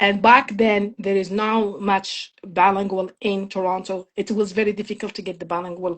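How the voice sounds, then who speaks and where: A woman's monotone, flat delivery in a slight French accent, with hardly any pauses. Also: medium pitch for a woman, moderate pace. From Morocco, small town near Khouribga. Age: 50s. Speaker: immigrant sharing life story. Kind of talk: interview testimony.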